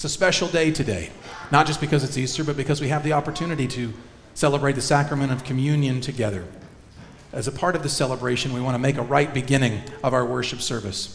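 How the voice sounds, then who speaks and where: A man at a very fast pace, with ordinary pitch variation, over light background noise. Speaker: minister leading worship. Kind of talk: worship service announcements and liturgy. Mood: warm, joyful. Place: church.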